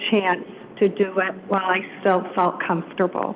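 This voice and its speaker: A woman's medium-pitched, flat, monotone voice at a moderate pace, with noticeable background noise. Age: 60s. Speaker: resident speaking at public comment. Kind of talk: public comment. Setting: city council meeting.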